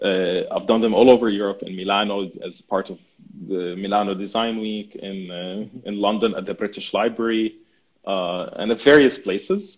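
A man with an Arabic accent, fairly low in pitch, fairly even in intonation, with big swings in loudness against a quiet background. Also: moderate pace. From Syria. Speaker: urban planning student and mapping project creator; guest. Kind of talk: interview. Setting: livestream video call. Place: home room. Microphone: video call.

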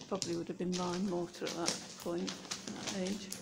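A fairly slow pace beneath loud background noise. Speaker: tunnel history enthusiast guide. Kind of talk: explanatory commentary while exploring. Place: tunnel cave. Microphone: phone near.

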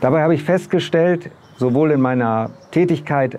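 The speaker keeps a moderate pace and ordinary pitch variation, with a dark, mellow tone. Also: man. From northern Germany, Bremen; Germany. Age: 60s. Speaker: local election candidate; election candidate. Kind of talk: campaign video statement; campaign self-introduction. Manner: hesitant with filler words. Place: street. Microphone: lapel.

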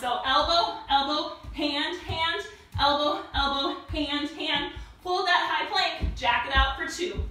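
A woman talks with ordinary pitch variation, and the room echo is audible. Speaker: fitness instructor. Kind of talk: workout instruction. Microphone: camera far.

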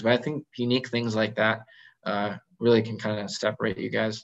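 A man with an American accent talks at a fairly quick pace, his pitch fairly low, against a quiet background. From California. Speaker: general dentist; guest. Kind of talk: online presentation with Q&A. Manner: casual with many fillers. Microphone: video call.

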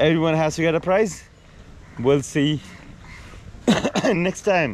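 Against light background noise, a man speaks at a moderate pace with lively intonation, the sound dry with no echo. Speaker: car owner vlogger. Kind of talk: casual vlog chat. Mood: cheerful, slightly disappointed. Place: garden. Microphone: phone near.

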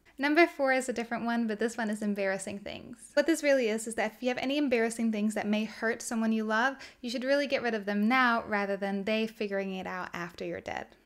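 Over a quiet background, a woman with a fairly high pitch talks at a very fast pace with hardly any pauses and ordinary pitch variation. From Sweden. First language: Swedish. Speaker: minimalism content creator. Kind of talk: casual talk to camera. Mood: warm, smiling, relaxed. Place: home room.

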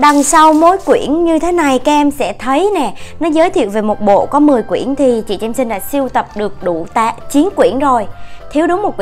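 A woman speaks at a moderate pace in a high voice, with faint music playing in the background. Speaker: unboxing channel host. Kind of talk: casual unboxing show-and-tell. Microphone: phone near.

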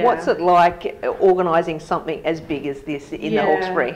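Over noticeable background noise, a woman speaks at a fairly quick pace. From Australia. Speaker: art show organiser and school parent. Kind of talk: interview answer. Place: office.

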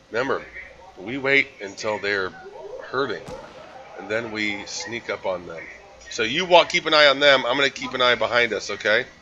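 Over noticeable background noise, a man of medium pitch talks at a moderate pace with lively intonation, big swings in loudness, and long, frequent pauses. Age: 40s. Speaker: gaming streamer. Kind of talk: live gameplay commentary. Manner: animated.

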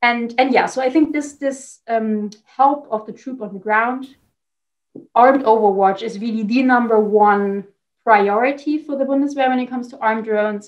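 At a moderate pace with long, frequent pauses, a woman speaks in a high voice with fairly even intonation over a quiet background. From Germany. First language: German. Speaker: defense policy expert. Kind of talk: interview. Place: home room. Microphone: video call.

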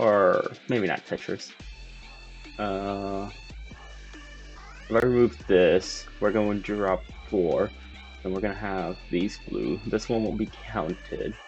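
Music plays in the background as a man speaks at a very slow pace. He leaves long, frequent pauses. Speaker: gamer. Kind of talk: casual gameplay commentary. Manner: whispered. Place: home room.

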